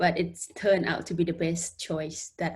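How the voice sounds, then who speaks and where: Somewhat breathy, a woman speaks in a fairly low pitch. Her pace is fairly slow. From Laos. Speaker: international student and community support worker. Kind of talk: interview. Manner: halting.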